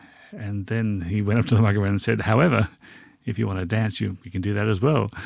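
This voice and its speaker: A man's fairly low voice in an Australian accent, very fast, with fairly even intonation, on a very clean recording with a silent background. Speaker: podcast host. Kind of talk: casual podcast chat.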